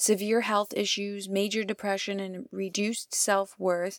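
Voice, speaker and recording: A woman talks at a medium pitch and a moderate pace. The recording is very clean, with a silent background. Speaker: radio contributor. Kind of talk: scripted narration. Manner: impassioned.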